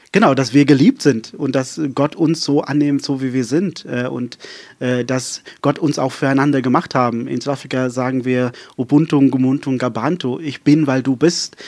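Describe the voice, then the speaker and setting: The speech moves at a moderate pace. Intonation stays fairly even. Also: man, medium pitch for a man. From South Africa, rural Western Cape. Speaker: pastor. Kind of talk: casual interview chat. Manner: fluent and flowing; many filler hesitations.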